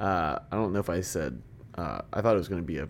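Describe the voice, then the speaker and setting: With an unremarkable speaking voice, a man talks at a fairly quick pace and ordinary pitch variation. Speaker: esports podcast co-host, betting-minded. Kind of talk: casual banter about esports.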